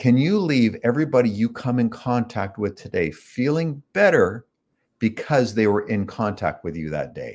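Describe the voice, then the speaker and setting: In a very clean recording with a silent background, a man with a Canadian accent speaks at a moderate pace and a medium pitch, his pitch swinging very widely. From Canada (Toronto), partly Chicago. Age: 60s. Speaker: author, son of a self-help speaker. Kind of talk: interview storytelling.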